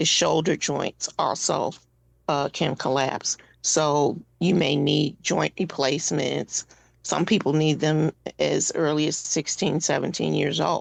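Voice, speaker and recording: Speaking at a fairly slow pace, a woman with a very deep, low pitch and vocal fry keeps a fairly even intonation and very even loudness. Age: 60s. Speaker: patient advocate, board member with sickle cell disease. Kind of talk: radio interview. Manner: halting, many fillers.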